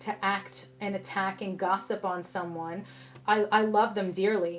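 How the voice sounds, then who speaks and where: A woman with a New York accent speaks in a passionate tone at a medium pitch. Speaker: tarot reader. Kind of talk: tarot reading to camera. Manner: passionate, sometimes harsh tone; casual, conversational.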